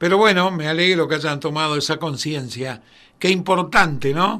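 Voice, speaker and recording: Raising and projecting his voice, a man speaks with a bright, sharp tone. His pitch variation is ordinary. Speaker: radio host. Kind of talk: radio interview. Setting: radio studio. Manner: animated.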